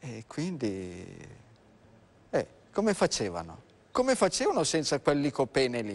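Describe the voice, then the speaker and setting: Speaking fairly slowly with long, frequent pauses, the man has a fairly high voice that moves in very wide pitch swings. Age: 60s. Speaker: doctor; guest. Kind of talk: live TV health talk show. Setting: TV studio. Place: studio. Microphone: lapel.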